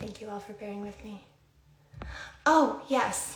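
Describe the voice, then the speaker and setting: With audible room echo and noticeable background noise, a woman speaks using ordinary pitch variation. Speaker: skincare brand founder hosting a livestream. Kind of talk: casual livestream talk.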